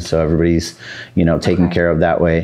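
The man speaks with an American accent. His tone is dark and mellow. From Southern California. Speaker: addiction recovery center co-founder. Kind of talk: interview. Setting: studio. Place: studio.

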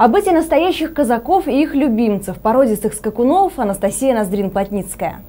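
At a moderate pace and with hardly any pauses, a woman speaks with a high pitch and very wide pitch swings. Her tone is dark and mellow. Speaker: news anchor. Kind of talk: news reading. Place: studio.

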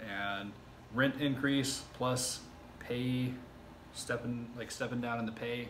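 A man's speech comes with light background noise. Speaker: self-taught web developer vlogger. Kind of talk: casual vlog chat. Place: home room. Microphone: camera far.

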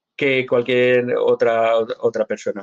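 A man talks with pitch that varies in an ordinary way, the background quiet. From Spain. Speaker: Latter-day Saint church member answering questions; interviewee. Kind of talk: live Q&A interview. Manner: hesitant, repeats words. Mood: earnest, convinced. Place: home room. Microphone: webcam.

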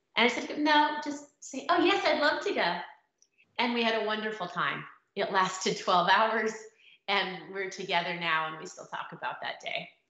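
Her fairly high voice has a bright, sharp tone and very wide pitch swings at a moderate pace. The background is quiet, though room echo is audible. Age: middle-aged. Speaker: dating blogger and author. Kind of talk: casual talk to camera. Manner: humorous, kind. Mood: warm, humorous. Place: home room. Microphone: webcam.

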